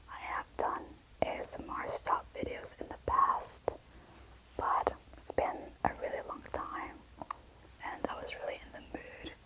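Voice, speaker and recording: A woman whispers at a fairly slow pace, with long, frequent pauses and big swings in loudness. Noticeable background noise runs underneath. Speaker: booktuber and ASMRist. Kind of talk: casual talk to camera intro. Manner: whispered, soft-spoken, slow.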